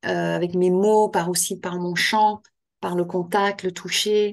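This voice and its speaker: In a monotone, flat delivery, a woman speaks at a fairly slow pace against a quiet background. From Quebec. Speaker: author and end-of-life care trainer. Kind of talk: interview. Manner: hesitant, many fillers and repetitions.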